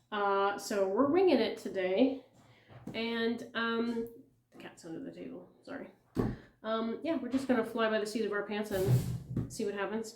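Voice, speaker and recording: Amid noticeable background noise and audible room echo, a woman speaks at a fairly high pitch and moderate pace, with ordinary pitch variation, big swings in loudness and long, frequent pauses. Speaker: flosstube cross-stitch vlogger. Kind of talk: casual vlog chat. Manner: rambling, many fillers.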